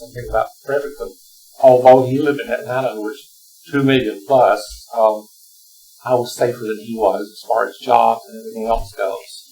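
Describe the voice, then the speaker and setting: A man's strong Southern US accent at a moderate pace, with big swings in loudness and noticeable background noise. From Alabama, US South. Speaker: retired teacher, panelist. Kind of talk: panel discussion.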